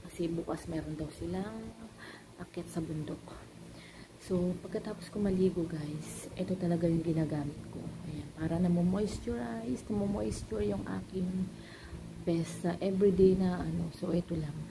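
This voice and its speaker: Over noticeable background noise and audible room echo, a soft-spoken woman talks at a moderate pace. Her pitch is fairly low and her intonation lively. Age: 30s. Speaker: vlogger, mother and store owner. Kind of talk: casual vlog talk to camera. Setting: at home in the living room at night. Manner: soft-spoken, quiet.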